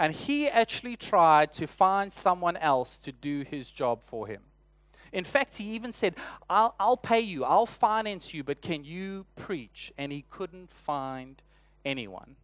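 Speaking fairly slowly with a South African accent, a man uses a high pitch and very wide pitch swings against a quiet background. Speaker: church elder and preacher. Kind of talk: sermon. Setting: church.

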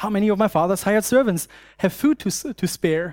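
With a German accent, a man talks at a high pitch and a fairly quick pace. The very clean recording has a silent background and a dry, close sound with no echo. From Germany. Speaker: preacher and university student ministry worker. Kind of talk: sermon. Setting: church. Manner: halting, many fillers.

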